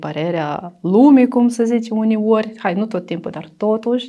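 With a Russian accent, a woman speaks in a dark, mellow tone over a quiet background. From Transnistria, Moldova; Moldova. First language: Russian (speaking Romanian). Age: 30s. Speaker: domestic violence survivor; interviewee. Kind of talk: interview testimony. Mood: somber, recounting past violence. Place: studio. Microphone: lapel.

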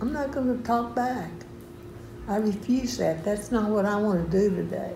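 A woman talks at a fairly slow pace while noticeable background noise carries on behind her. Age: 80s+. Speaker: elderly churchgoer sharing testimony. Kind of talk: testimony. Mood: earnest, firm. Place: home room. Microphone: phone near.

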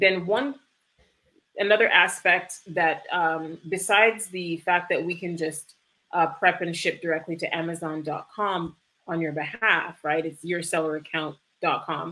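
Speaking at a fairly slow pace, a woman has a fairly low pitch and a bright, sharp tone. Her intonation is fairly even. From Canada (Toronto), Jamaican immigrant parents. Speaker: e-commerce fulfillment business owner; guest. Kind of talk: livestream interview. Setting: video livestream. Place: home room. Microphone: webcam.

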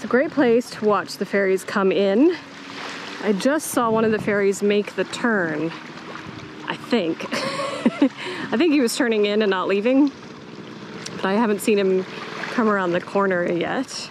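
Speech comes at a fairly slow pace with long, frequent pauses, the sound dry with no echo and noticeable noise behind it. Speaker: travel vlogger. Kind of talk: casual vlog chat. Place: beach. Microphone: phone near.

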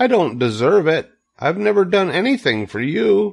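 A man puts on a character voice, pitched high with big pitch swings. His delivery has a slightly husky edge and vocal fry, at a moderate pace.

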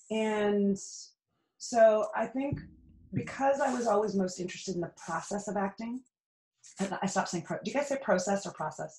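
Speaking at a moderate pace with ordinary pitch variation, a woman with an American accent sounds somewhat breathy and leaves long, frequent pauses. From Canada. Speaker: actor, dancer and podcast guest; podcast guest. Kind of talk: casual interview chat. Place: home room.

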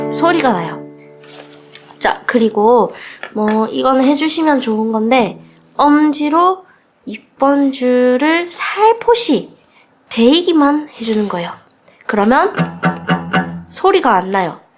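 A woman's high-pitched voice with very wide pitch swings, at a very slow pace with long, frequent pauses. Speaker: guitar teacher. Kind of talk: tutorial instruction.

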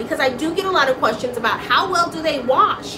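Over noticeable background noise, a woman speaks in an animated tone with a raised, projected voice at a moderate pace. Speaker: small business owner, live streamer. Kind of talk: casual live stream chat. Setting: home studio, live stream. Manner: loud; talkative, animated. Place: workshop. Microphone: phone near.

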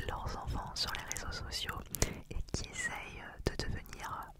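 Over loud background noise, a soft-spoken woman whispers at a very slow pace, the sound dry with no echo. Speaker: ASMR creator reviewing items. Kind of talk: casual soft-spoken review chat. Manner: close-mic soft ASMR whisper. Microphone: studio mic.

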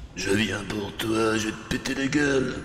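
Over clear background noise, a man growls in a put-on character voice at medium pitch and moderate pace, with a slight echo in the room. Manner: menacing.

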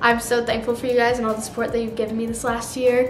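A woman speaks at a high pitch, with light background noise. Room echo can be heard around her voice. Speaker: vlogger. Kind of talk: casual vlog chat. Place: kitchen.

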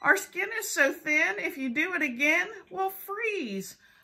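Using a put-on character voice, a woman speaks in a raised, projected voice at a high pitch, with very wide pitch swings and a very slow pace. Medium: read story. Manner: worried, pleading.

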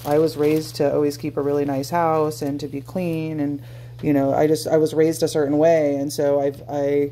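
Moderate pace against light background noise. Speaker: wellness vlogger. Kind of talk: casual vlog chat. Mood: reflective, vulnerable. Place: kitchen. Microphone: phone near.

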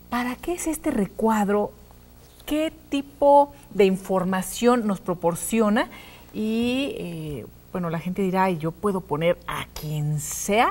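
A woman speaks at a very slow pace with a somewhat breathy voice. Her pitch swings very widely. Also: medium pitch for a woman. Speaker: TV host. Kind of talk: TV interview. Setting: studio.

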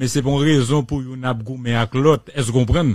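A man speaks at a moderate pace with fairly even intonation. The background is quiet and the sound is dry with no echo. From Haiti. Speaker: radio host. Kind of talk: radio talk show. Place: studio. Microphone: studio mic.

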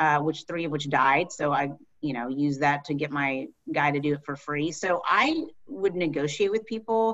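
Over a quiet background, a woman with an American accent speaks at a very deep, low pitch. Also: ordinary pitch variation, moderate pace. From Texas. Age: 40s. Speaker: attorney. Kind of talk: lecture. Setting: video call. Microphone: webcam.

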